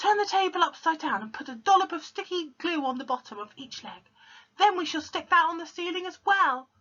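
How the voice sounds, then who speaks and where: Shouting in a put-on character voice, the speaker goes at a fairly quick pace and an extremely high pitch. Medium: read story. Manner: excited, bossy, shouting.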